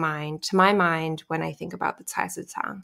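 A woman with an American accent uses an ordinary speaking voice at a fairly low pitch and fairly even intonation. The recording is very clean, with a silent background. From Alaska. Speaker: sociology professor. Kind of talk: interview.

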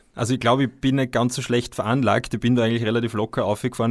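With monotone, flat intonation, a man speaks in a very clean recording with a silent background. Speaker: ultracyclist and author. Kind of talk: casual chat.

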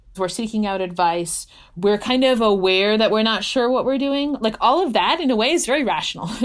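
A woman speaks in a plain, everyday voice at a fairly high pitch and a moderate pace. Her intonation is lively, on a very clean recording with a silent background. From United States, Hungarian-born (moved at six). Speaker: philosophy professor. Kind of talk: interview conversation.

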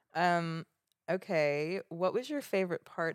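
A woman speaks at a fairly slow pace with fairly low pitch and ordinary pitch variation in a dry, close sound with no echo. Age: 30s. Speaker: podcast co-host. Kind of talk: casual chat.

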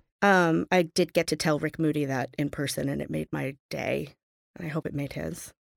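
A woman with an American accent at a very deep, low pitch, vocal fry, fairly even intonation and a moderate pace, in a very clean recording with a silent background and a dry, close sound with no echo. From Boston. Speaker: litigant. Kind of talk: casual chat.

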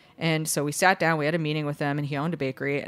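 A woman with a very deep, low pitch and an American accent, talking at a very fast pace amid noticeable background noise. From Chicago, US Midwest. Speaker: bakery co-founder and CEO. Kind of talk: interview, casual chat.

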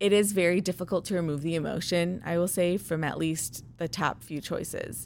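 A woman's fairly low, a normal speaking voice with an American accent, at a moderate pace with ordinary pitch variation, in a very clean recording with a silent background. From Chicago, US Midwest. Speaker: ob-gyn resident physician. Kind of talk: interview.

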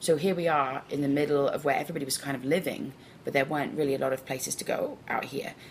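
Very fast speech with an English accent and fairly even intonation. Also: woman. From England. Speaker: bar owner. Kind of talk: casual chat.

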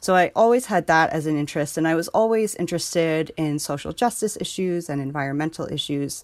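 A woman with an American accent, an ordinary speaking voice, fairly low pitch, ordinary pitch variation and moderate pace, on a very clean recording with a silent background. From New York, Hudson Valley. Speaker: farmer. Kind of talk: interview.

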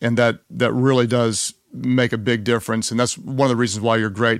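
Fairly quick speech from a man comes through on a very clean recording with a silent background. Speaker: podcast host. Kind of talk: podcast interview. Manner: enthusiastic.

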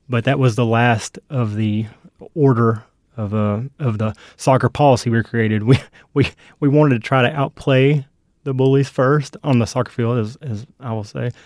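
A normal speaking voice, this man's is medium in pitch with an American accent and fairly even intonation, at a moderate pace with a dry, close sound with no echo. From US South (South Carolina, Tennessee). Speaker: litigant, father and youth soccer coach. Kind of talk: casual dispute testimony.

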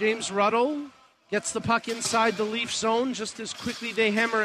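A man's raised, projected voice, high in pitch, over noticeable background noise. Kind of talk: live sports commentary (play-by-play).

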